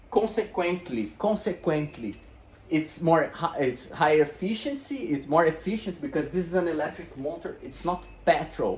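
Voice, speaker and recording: This man talks at a moderate pace with a non-native accent, a high pitch and lively intonation. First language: not English. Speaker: e-bike shop owner and video host. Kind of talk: tutorial. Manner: animated.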